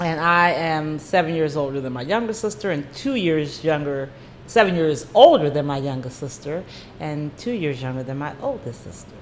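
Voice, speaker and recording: Audible room echo surrounds a woman speaking at a moderate pace with a very deep, low pitch. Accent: American. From US Mid-Atlantic (Maryland, from age 13). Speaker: nurse and singer. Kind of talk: casual interview.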